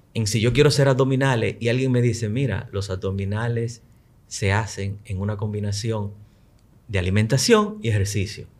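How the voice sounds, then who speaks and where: Somewhat breathy, a man talks at a medium pitch. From Dominican Republic, Luperón, Puerto Plata. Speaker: tech and tourism entrepreneur. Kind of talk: casual chat.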